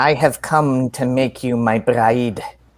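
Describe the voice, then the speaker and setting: A man puts on a character voice with a non-native accent, speaking at a fairly slow pace with a medium pitch and fairly even intonation. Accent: foreign accent, unfamiliar to the listener. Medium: read story. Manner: haughty.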